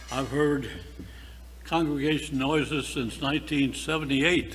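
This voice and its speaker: A man speaking at a very slow pace amid audible room echo. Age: 80s+. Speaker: retired-age priest. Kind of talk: speech at parish annual meeting.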